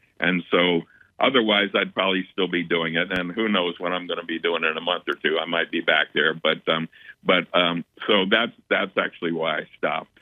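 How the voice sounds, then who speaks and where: Very deep and low in pitch, a man talks at a fairly quick pace with fairly even intonation. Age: 70s. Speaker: retired acupuncturist and spiritual healer. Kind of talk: interview. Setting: radio show. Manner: halting, many repeated words.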